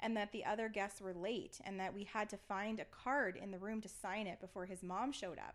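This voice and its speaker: In an ordinary speaking voice, a woman talks at a medium pitch and a fairly quick pace with hardly any pauses, her intonation fairly even. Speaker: podcast host and tax lawyer. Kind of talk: casual chat. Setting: hotel room.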